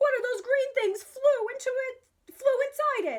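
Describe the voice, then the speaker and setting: A woman puts on a squeaky character voice at an extremely high pitch. She speaks at a moderate pace. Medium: read story.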